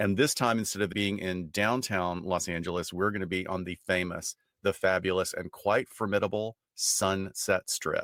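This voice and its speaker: A man with an American accent speaks at a moderate pace with a very deep, low pitch, fairly even intonation and hardly any pauses. The recording is very clean with a silent background and a dry, close sound with no echo. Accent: Southern US, stronger than usual. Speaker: forensic psychologist podcast co-host. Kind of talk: casual podcast chat.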